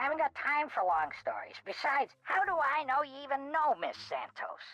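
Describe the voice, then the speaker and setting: Someone in a put-on character voice speaks with a high pitch at a moderate pace. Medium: video game. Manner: gruff, folksy.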